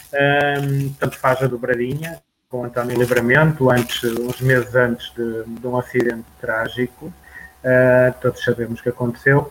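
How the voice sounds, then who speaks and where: Monotone, flat delivery from a man at medium pitch. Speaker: sports radio presenter. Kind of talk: sports news reading; interview. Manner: halting.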